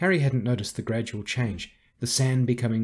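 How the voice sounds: The reading sounds natural, and the intonation stays fairly even.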